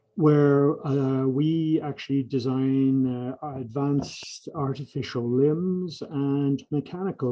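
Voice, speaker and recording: With an Irish accent, a man speaks at medium pitch and a very slow pace, using hardly any pauses and fairly even intonation, while noticeable background noise is present. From Ireland. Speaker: professor and engineering lab director. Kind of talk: lecture.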